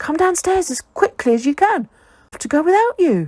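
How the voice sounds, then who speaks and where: A woman uses a put-on character voice, squeaky and extremely high in pitch. She keeps a moderate pace. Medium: read story.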